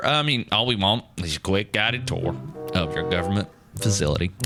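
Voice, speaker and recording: A man talks at a moderate pace, his pitch swinging very widely, while music plays in the background. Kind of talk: casual, chatty.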